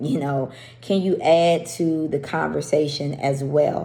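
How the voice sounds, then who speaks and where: With audible room echo, a woman with a very deep, low pitch speaks in a dark, mellow tone with vocal fry and fairly even intonation. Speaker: women's faith group leader. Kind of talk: faith devotional talk. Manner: stumbling.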